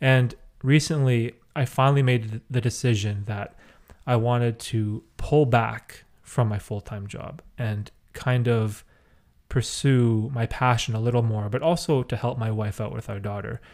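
An ordinary speaking voice from a man, medium in pitch, fairly slow and fairly even in intonation, on a very clean recording with a silent background. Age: 30s. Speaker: podcast host and youtuber. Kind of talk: casual chat.

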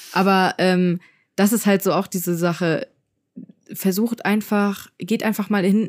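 The speech is fairly slow, with long, frequent pauses. Loudness stays very even on a very clean recording with a silent background. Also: woman, medium pitch for a woman. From Germany, Frankfurt. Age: 20s. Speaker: podcast co-host, YouTuber. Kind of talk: casual chat. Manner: animated.

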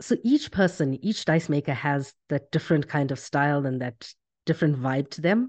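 A very deep, low-pitched female voice at a moderate pace, with ordinary pitch variation and a quiet background. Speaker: podcast host. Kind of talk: casual interview chat.

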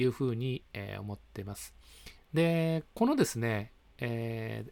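His pitch swings very widely as the man talks. No background sound intrudes on this very clean recording. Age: 50s. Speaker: early retiree sharing life updates. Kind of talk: monologue video update. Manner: polite, many fillers.

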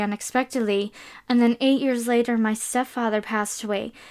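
An American accent at a fairly quick pace in a very clean recording with a silent background. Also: woman. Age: 20s. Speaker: podcast host. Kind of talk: solo monologue podcast. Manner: animated.

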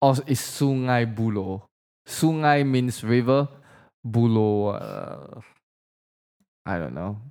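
A dark, mellow voice at a very slow pace, with ordinary pitch variation and long, frequent pauses, on a very clean recording with a silent background. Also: man, medium pitch for a man. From Indonesia. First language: Indonesian. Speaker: podcast co-host. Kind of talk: casual chat. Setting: studio.

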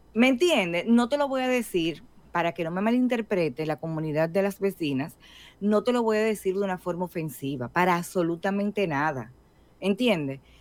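Heard on a very clean recording with a silent background, a woman with an unremarkable speaking voice talks at medium pitch and a moderate pace with lively intonation. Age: 50s. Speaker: podcast co-host. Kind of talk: casual chat.

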